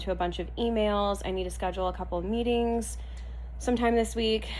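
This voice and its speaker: A woman talks at a fairly quick pace. Audible room echo is present. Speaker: lifestyle vlogger. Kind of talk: casual vlog talk. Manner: chatty, upbeat.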